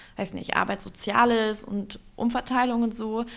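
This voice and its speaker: In an ordinary speaking voice, a woman talks with ordinary pitch variation. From Germany, Upper Harz (Lower Saxony). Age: 20s. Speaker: youth politics leader and trade union secretary. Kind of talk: interview.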